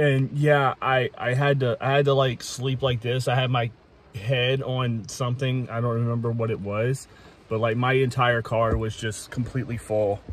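Somewhat breathy, a man speaks at a moderate pace with monotone, flat intonation in a dry sound with no echo. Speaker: car-living vlogger. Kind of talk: casual vlog chat. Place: car. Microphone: phone near.

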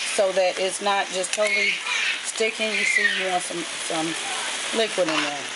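Loud background noise runs under the voice. The pace is moderate. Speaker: mother vlogger. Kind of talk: cooking tutorial vlog chat. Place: kitchen. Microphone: phone near.

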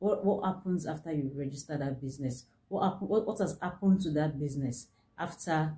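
In a very deep, low voice, a woman speaks at a fairly quick pace with a dark, mellow, somewhat breathy tone. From Nigeria. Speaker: business consultant. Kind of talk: tutorial. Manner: halting. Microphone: phone near.

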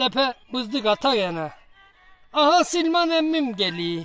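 A speaker with an Eastern Black Sea accent talks at a fairly slow pace. Music plays in the background. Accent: Giresun dialect. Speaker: poet. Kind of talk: poetry reading.

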